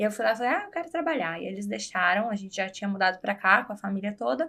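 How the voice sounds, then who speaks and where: At a very fast pace, a woman talks in a bright, sharp tone at medium pitch, her voice making very wide pitch swings. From Brazil, Guarulhos, São Paulo; partly raised in Florida. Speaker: podcast guest. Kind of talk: casual interview chat.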